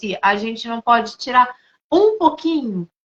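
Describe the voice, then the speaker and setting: A woman speaks with a Rio de Janeiro accent. Her pitch is high and her intonation lively. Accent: sounds carioca (Rio de Janeiro). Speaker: integrative therapist. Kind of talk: casual chat.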